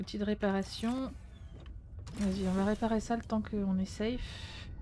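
A woman at a medium pitch talks in a dark, mellow tone that is somewhat breathy, with monotone, flat intonation. Her pace is fairly slow, and there is light background noise. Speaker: video game streamer; streamer. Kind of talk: live gameplay commentary. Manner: not always clearly articulated. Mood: pleased, relaxed. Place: home room.

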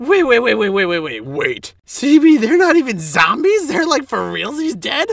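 In a cartoonish character voice, a man speaks at a very slow pace with an extremely high pitch and very wide pitch swings. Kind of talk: comic overacting. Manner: loud, manic, excitable, dumb bravado.

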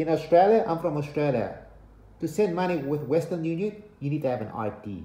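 Audible room echo surrounds a man speaking at a moderate pace. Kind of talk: casual vlog chat. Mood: warning, earnest. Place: home room. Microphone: phone near.

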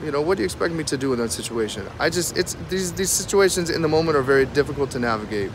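Over clear background noise, a man talks at a very fast pace with a fairly high pitch and lively intonation.

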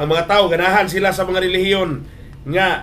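A man is talking. Light background noise can be heard. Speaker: preacher. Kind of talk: sermon on radio. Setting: radio broadcast. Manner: animated, exhortative, mixes English phrases. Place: studio.

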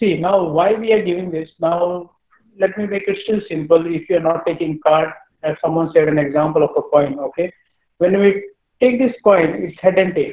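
Moderate pace and ordinary pitch variation, with audible room echo and a quiet background. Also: man, high pitch for a man. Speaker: teacher. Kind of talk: lecture. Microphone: video call.

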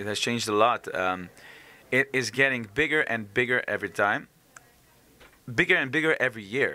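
A man with a Slovenian accent has a bright, sharp tone at a medium pitch and a moderate pace. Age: 30s. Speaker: singer; interviewee. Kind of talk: interview. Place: hall. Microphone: handheld.

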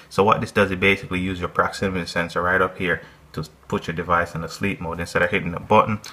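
The man speaks with a very deep, low pitch. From Jamaica, Mandeville; Jamaica. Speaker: tech YouTuber. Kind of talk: tutorial. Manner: fast. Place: home room.

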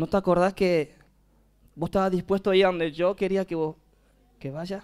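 On a very clean recording with a silent background, a high-pitched man speaks at a moderate pace. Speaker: youth mission worker. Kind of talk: testimony.

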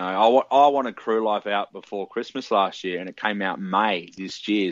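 At a moderate pace, a man with a fairly low voice speaks in an Australian accent. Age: 20s. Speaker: musician. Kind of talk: casual chat.

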